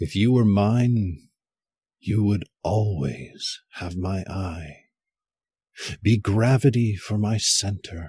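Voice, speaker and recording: A man's fairly low, dark, mellow voice, somewhat breathy, with ordinary pitch variation, a very slow pace, and long, frequent pauses. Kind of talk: spoken word poem, echoing the partner's stanzas in a duet reading.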